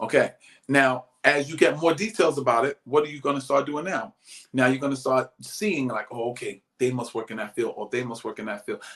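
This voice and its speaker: Speaking at a fairly quick pace, a man with a plain, everyday voice keeps a medium pitch and ordinary pitch variation. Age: 60s. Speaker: motivational speaker. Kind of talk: live motivational talk.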